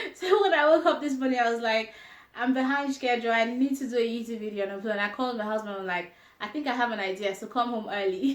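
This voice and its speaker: Over noticeable background noise, a woman with a Yoruba accent speaks at a very fast pace with a fairly high pitch and ordinary pitch variation. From Nigeria (grew up in Jos). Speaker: lifestyle vlogger. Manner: hesitant with fillers.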